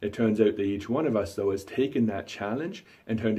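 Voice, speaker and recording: This man talks at a very fast pace in a fairly low, dark and mellow voice that is somewhat breathy. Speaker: magician and entertainment company owner. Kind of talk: thank-you testimonial.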